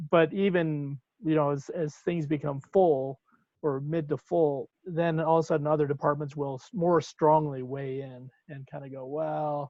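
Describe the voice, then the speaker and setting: A man's unremarkable speaking voice, fairly high-pitched, at a moderate pace with fairly even intonation and big swings in loudness, in a dry, echo-free recording over a quiet background. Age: 60s. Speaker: professor. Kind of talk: workshop discussion. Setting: video call. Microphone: video call.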